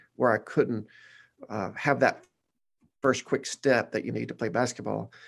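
With a Southern US accent, a man speaks at a medium pitch with vocal fry. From Arkansas, Batesville. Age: 40s. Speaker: pastor. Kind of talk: casual interview.

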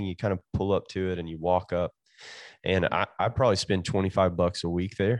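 In a Kentucky Appalachian accent, a man with a very deep, low pitch talks very fast, with a dry, close sound, no echo and a quiet background. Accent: Kentucky Appalachian Southern, noticeable. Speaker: pastor. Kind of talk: casual interview chat. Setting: remote call from California.

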